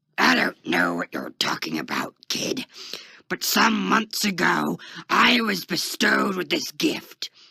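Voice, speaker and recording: In a growling, put-on character voice, a man speaks at a fairly slow pace with a dry, close sound and no echo. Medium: read story. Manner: cocky, condescending.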